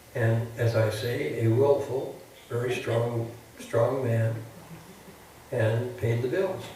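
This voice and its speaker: Noticeable background noise and audible room echo around a man's medium-pitched, fairly even delivery. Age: 80s+. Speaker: architect. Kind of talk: public interview before an audience. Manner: halting.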